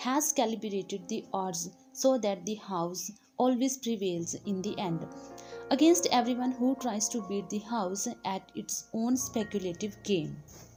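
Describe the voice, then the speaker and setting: Over music in the background, a woman with an Indian accent talks at a fairly slow pace with lively intonation. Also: medium pitch for a woman. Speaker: audiobook narrator. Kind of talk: audiobook reading.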